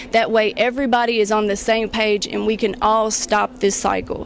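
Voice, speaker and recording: With a Kentucky accent, a woman talks at a moderate pace in a fairly high pitch and a monotone, flat intonation, with noticeable background noise behind her. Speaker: beauty pageant contestant. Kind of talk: interview. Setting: library.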